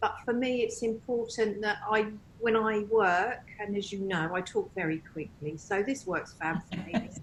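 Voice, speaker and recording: A woman talks at a moderate pace with a fairly high pitch and ordinary pitch variation. Noticeable background noise runs underneath. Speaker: medium and tutor. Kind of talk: interview conversation.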